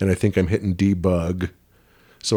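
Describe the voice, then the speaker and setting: A man with a dark, mellow tone and very deep, low pitch talks at a fairly quick pace with fairly even intonation, on a very clean recording with a silent background. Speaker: aspiring voice actor. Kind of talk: casual chat. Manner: soft-spoken.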